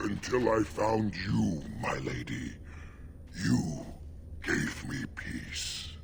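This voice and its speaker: A man puts on a character voice, pitched very deep and low, and speaks very slowly. Long pauses come often, over clear background noise. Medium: video game.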